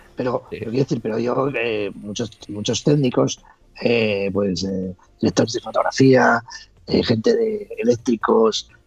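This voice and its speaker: The pace is fairly slow, with ordinary pitch variation. It is a plain, everyday voice. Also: man, medium pitch for a man. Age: 50s. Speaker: former reality show contestant. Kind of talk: casual interview. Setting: call.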